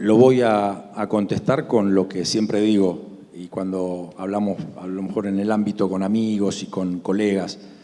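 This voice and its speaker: A man speaks at a fairly low pitch in a flat monotone. His pace is fairly slow. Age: 60s. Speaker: grain broker. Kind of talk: panel discussion.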